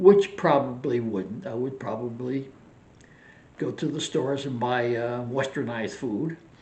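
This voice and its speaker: A man speaks at a fairly slow pace in a somewhat breathy voice, with medium pitch and ordinary pitch variation. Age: 80s+. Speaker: retired vlogger. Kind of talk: casual vlog monologue.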